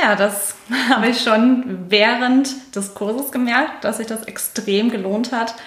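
Amid noticeable background noise and audible room echo, a woman talks very slowly at a fairly high pitch with fairly even intonation. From immigrant family in Germany (Aussiedler). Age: 20s. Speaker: finance coaching alumna, sales professional. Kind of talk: interview.

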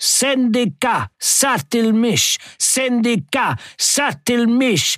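A put-on character voice, fairly bright, with lively intonation and a very slow pace, on a very clean recording with a silent background. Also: man, extremely high pitch for a man.

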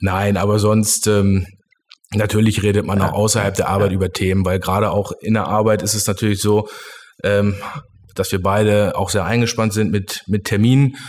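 Keeping a very even loudness, a man speaks at a moderate pace in a fairly low, flat monotone. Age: 30s. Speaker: company managing director. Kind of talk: interview. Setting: studio.

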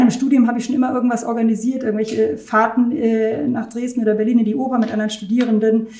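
A woman with an ordinary speaking voice and a fairly high pitch talks at a fairly quick pace. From Germany, Rhineland near Düsseldorf. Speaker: concert hall director. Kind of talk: interview.

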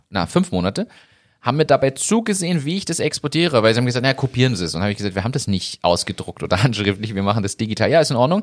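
In a very clean recording with a silent background and a dry, close sound with no echo, a man at medium pitch speaks at a very fast pace in a playful tone with very wide pitch swings. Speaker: podcast host. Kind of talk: casual banter podcast chat. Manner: joking, playful.

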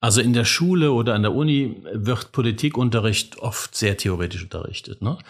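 A man speaks in an unremarkable speaking voice. His pace is moderate and his intonation lively. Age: 50s. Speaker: civic education officer. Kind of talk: interview.

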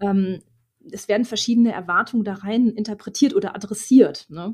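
A somewhat breathy woman's voice, fairly high in pitch, with lively intonation at a moderate pace. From Ruhr area, Germany. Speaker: podcast host and supervisor coach. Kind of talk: interview.

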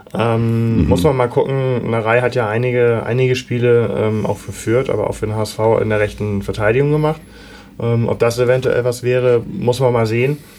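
A man speaks at a medium pitch with fairly even intonation. Noticeable background noise sits behind him. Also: moderate pace. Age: 40s. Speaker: football fan podcaster. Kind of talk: casual chat.

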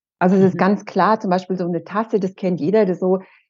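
A woman speaks in a dark, mellow tone. Her pace is fairly quick. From Franconia, Bavaria (Erlangen). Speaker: happiness coach. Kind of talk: interview conversation.

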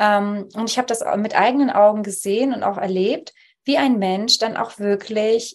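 A woman speaks at a moderate pace, fairly high in pitch, over a quiet background. It is a plain, everyday voice. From Poland (Upper Silesia), raised in Germany from childhood. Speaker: Theta Healing practitioner. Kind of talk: interview conversation.

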